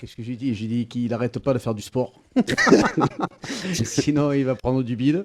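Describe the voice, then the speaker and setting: Over noticeable background noise, a man with a medium pitch speaks at a moderate pace, using ordinary pitch variation and long, frequent pauses. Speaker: singer and humorist. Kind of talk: interview answer.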